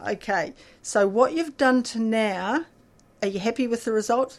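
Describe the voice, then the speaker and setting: A woman's lively, fry-touched speech at a moderate pace. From New Zealand. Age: 60s. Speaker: member of a recovery fellowship for compulsive eating. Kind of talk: personal recovery testimony in a radio interview. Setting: radio studio.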